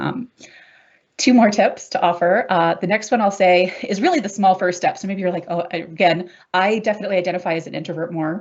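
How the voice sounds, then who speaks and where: This woman speaks at a fairly quick pace with a medium pitch and fairly even intonation. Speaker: workplace mental health expert, academic. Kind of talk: webinar presentation. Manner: fast.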